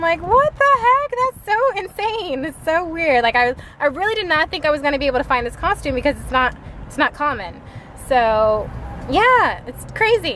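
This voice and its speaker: A woman speaks in a raised, projected voice at a moderate pace, with big swings in loudness, a dry sound with no echo, and light background noise. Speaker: mom vlogger. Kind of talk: casual vlog chat. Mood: excited, chatty. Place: car. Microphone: phone near.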